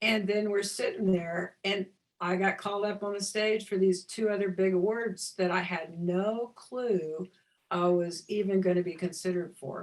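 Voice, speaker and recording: An ordinary speaking voice from a woman, medium-pitched, moving at a moderate pace. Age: 60s. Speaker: visionary artist and spiritual teacher. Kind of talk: interview.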